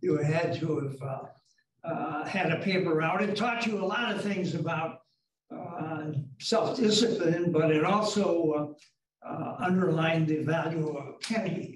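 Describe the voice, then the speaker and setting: Fairly slow speech from a man with an American accent, high in pitch with ordinary variation, amid audible room echo and light background noise. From Wisconsin, Wauwatosa; Wisconsin. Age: old. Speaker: retired tech executive; interviewee. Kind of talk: interview. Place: meeting room. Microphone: camera far.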